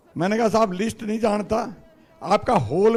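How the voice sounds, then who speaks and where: There is crowd noise behind a man who speaks in a high voice. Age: 60s. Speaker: politician. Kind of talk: political speech. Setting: party headquarters event with audience.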